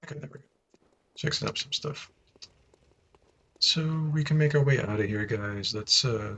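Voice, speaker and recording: Pausing long and often, a man speaks at a moderate pace in a fairly high voice with ordinary pitch variation. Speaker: video game streamer. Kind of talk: live gameplay commentary. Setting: live stream.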